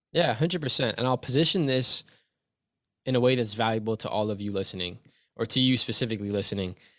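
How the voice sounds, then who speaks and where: Recorded very cleanly against a silent background, a man with an ordinary speaking voice and a Canadian accent speaks at a fairly quick pace. His pitch is medium with ordinary variation. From Canada, Toronto. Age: 20s. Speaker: youth coach and motivational speaker. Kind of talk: interview. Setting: home basement studio.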